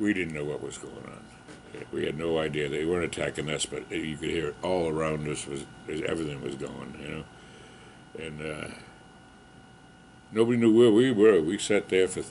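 Light background noise accompanies speech with ordinary pitch variation. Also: man, very deep, low pitch for a man, moderate pace, big swings in loudness. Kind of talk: interview answer. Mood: calm, occasional laughs.

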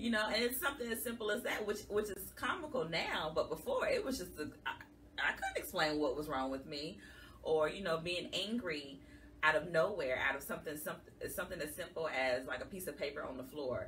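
The speech moves at a fairly quick pace over light background noise. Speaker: guest. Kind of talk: interview answer. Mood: earnest, emotional personal story. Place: studio.

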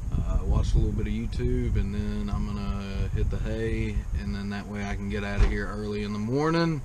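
A man talks at a moderate tempo, and noticeable background noise can be heard. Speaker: truck driver vlogger. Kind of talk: casual vlog chat. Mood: relaxed, easygoing. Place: car. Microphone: phone near.

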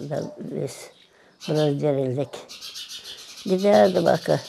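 Over light background noise, a woman speaks at a very slow pace with a very deep, low pitch and very wide pitch swings. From Moldova. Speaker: famine survivor; witness. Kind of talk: testimony. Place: street.

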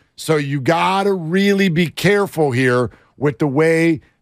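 Ordinary pitch variation, in a dry sound with no echo and a quiet background. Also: man. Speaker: radio host. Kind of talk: sports talk commentary. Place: studio. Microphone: studio mic.

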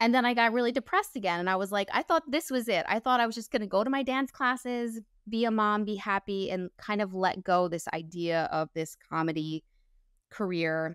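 A woman with fairly high pitch speaks at a fairly quick pace with lively intonation. The sound is dry with no echo, over a quiet background. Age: 40s. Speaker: actor, comedian and social media creator; actor, comedian, social media creator. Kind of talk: casual interview chat. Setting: podcast interview. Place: home room. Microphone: lapel.

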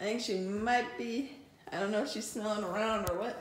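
A woman at a moderate pace, medium in pitch, with fairly even intonation

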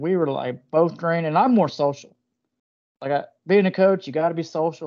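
Someone with a Southern US accent talks at a fairly quick pace against a quiet background. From US South. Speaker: video channel host. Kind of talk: casual interview chat. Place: home room. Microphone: video call.

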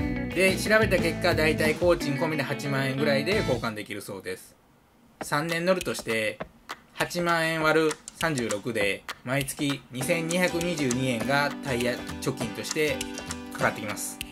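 A man speaks at a fairly quick pace. Music runs in the background. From Kansai, Japan. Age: 30s. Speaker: car YouTuber. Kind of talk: voice-over narration of car cost explainer.

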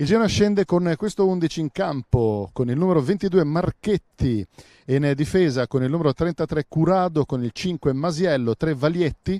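With a dark, mellow tone and a fairly high pitch, a man talks at a fairly slow pace and with lively intonation, in a dry, close recording with no echo and a completely silent background. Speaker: club TV commentator. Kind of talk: live sports commentary. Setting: stadium, friendly match. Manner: repeats key words for emphasis.

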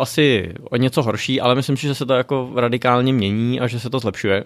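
A man speaks at a fairly quick pace with hardly any pauses, in an ordinary speaking voice. His intonation stays fairly even. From Czech Republic, Děčín. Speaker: entrepreneur. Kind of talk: interview. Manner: casual, many fillers.

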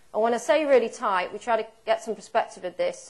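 A woman with a British accent speaks at a fairly quick pace. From UK. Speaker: dairy cattle breeding expert; presenter. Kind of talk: conference seminar talk. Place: hall.

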